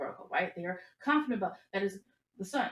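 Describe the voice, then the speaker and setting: A woman speaks at a very fast pace and a medium pitch. Her voice is somewhat breathy, with lively intonation. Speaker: astrology reader. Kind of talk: commentary video. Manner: hesitant fillers.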